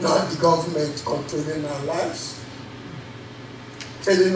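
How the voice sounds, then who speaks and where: A man with fairly even intonation, with audible room echo and noticeable background noise. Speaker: preacher. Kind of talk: sermon. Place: church.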